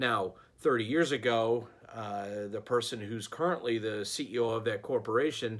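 A man with a normal speaking voice, medium pitch and ordinary pitch variation is heard in a very clean recording with a silent background. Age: 40s. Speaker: leadership coach / vlogger. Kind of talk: monologue advice talk. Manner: casual, many fillers.

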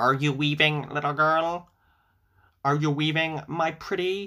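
In a put-on character voice, a man sounds squeaky at a fairly high pitch. He goes at a fairly slow pace in a very clean recording with a silent background. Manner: sweet, wheedling.

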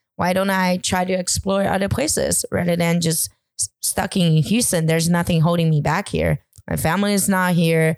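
On a very clean recording with a silent background, a woman with a Chinese accent speaks at a moderate pace in a fairly low pitch, with fairly even intonation and very even loudness. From China (village, then suburb of a city). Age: 30s. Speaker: podcast guest. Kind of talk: casual interview chat. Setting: night recording.

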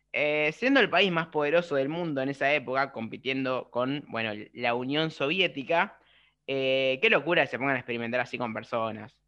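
A man's bright, sharp voice in a Rioplatense accent, fairly high in pitch with ordinary pitch variation, at a moderate pace. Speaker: podcast co-host. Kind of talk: casual chat.

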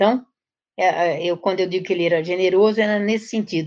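An ordinary speaking voice carries lively intonation. The pace is fairly quick. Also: woman. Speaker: education professor. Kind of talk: interview.

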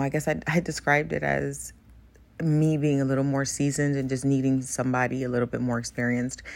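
A woman's very deep, low voice at a moderate pace, in a very clean recording with a silent background. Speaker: podcast host. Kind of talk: personal monologue.

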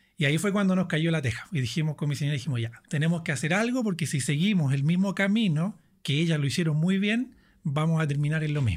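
Talking very fast with lively intonation, a man with a fairly high pitch keeps his loudness very even in a very clean recording with a silent background. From southern Chile. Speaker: financial coach. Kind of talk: interview.

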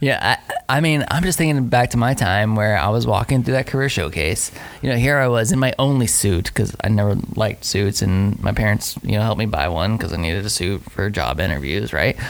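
Over noticeable background noise, a man with a fairly low pitch talks at a fairly quick pace and very even loudness. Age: 30s. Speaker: podcast host. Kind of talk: casual chat.

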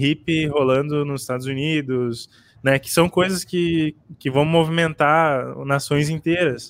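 Fairly high for a man, this is an ordinary speaking voice with fairly even intonation. He talks at a fairly slow pace, and the sound is dry and close with no echo. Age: 20s. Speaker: podcast co-host. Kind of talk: casual chat.

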